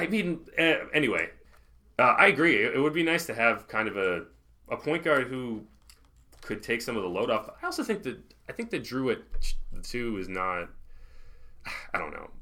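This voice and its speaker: The recording is very clean with a silent background, carrying a man's bright, sharp tone and vocal fry. His pitch swings very widely, with long, frequent pauses. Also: medium pitch for a man, moderate pace. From New England. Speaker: sports producer, podcast co-host. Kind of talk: casual chat.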